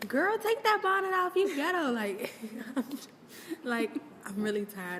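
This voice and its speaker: A woman speaks at a moderate pace. Noticeable background noise can be heard behind her. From Maryland (Prince George's County), US. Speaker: college student interviewee. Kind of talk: interview. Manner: loud at times.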